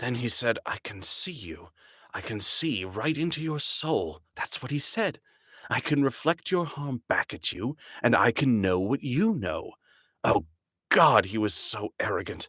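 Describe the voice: A man puts on a character voice at a medium pitch, swinging very widely up and down at a moderate pace. There is hissing, though the recording is very clean with a silent background.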